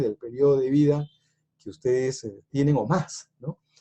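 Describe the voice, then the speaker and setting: A man speaks at a moderate pace in a dark, mellow tone that is somewhat breathy. The sound is dry and close, with no echo. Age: 60s. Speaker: economics speaker. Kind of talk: lecture. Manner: hesitant, many fillers.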